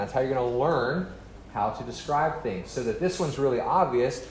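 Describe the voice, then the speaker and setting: Fairly high male voice with lively intonation, moving at a fairly quick pace through audible room echo. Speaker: medical lecturer. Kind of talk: lecture. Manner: fast.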